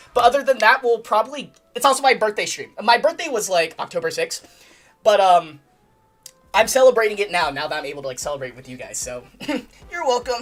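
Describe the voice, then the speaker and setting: Music plays in the background as a woman talks at a very fast pace. Her pitch is fairly high, with very wide swings. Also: big swings in loudness. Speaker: gaming streamer. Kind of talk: casual chat. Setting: livestream. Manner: loud; animated.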